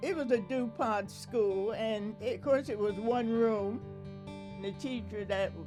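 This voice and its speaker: A woman with an American accent at a very slow pace, her intonation fairly even, with music in the background. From rural Delaware, USA. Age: 80s+. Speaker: oral history interviewee. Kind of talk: interview answer.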